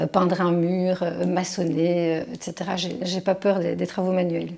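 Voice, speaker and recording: A woman's moderately paced speech comes through noticeable background noise. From Belgium, Charleroi (Wallonia). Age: 40s. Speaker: criminology researcher. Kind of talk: interview monologue. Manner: hesitant, many fillers.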